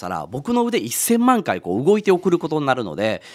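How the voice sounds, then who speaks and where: A man's speech moves at a fairly quick pace, with a quiet background behind it. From Japan, Kagawa Prefecture; Japan. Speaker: company CEO; guest. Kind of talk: radio interview. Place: studio. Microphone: studio mic.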